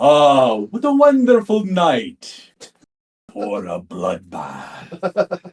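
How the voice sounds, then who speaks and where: A man puts on a character voice, pitched high and delivered at a very slow pace. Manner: menacing, theatrical.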